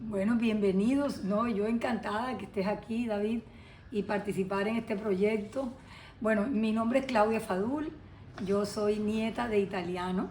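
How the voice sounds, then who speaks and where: A woman speaks with a fairly high voice. Some room echo can be heard. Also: fairly even intonation, fairly slow pace. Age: 60s. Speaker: lawyer, interviewee. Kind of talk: interview testimony. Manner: hesitant, many fillers.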